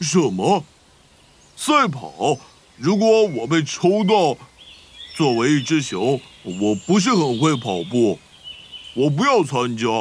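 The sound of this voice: Using a cartoonish character voice, a man talks at a fairly slow pace with long, frequent pauses. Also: fairly high pitch for a man.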